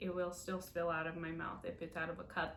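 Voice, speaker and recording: A woman's fairly low voice with audible room echo. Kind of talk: casual video update. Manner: hesitant, many fillers.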